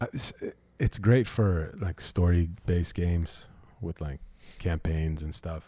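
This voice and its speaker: A man speaks at a very slow pace with long, frequent pauses, his very deep, low voice dark, mellow and somewhat breathy. His pitch varies in an ordinary way, on a very clean recording with a silent background. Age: 20s. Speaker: audio engineer. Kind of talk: casual chat.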